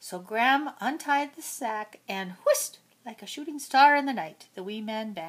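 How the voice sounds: This reading voice sounds natural, and its intonation moves in a lively way.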